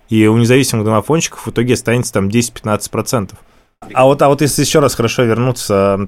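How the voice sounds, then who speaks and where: Fairly quick delivery from a normal speaking voice with ordinary pitch variation. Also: man. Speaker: investor. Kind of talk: panel critique.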